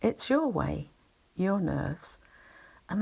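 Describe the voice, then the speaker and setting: Speaking at a fairly slow pace, a woman uses a soothing tone on a very clean recording with a silent background. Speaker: anxiety relaxation channel host. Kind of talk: soothing spoken explanation with story. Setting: home recording, quiet house. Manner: slow, calming soothing delivery.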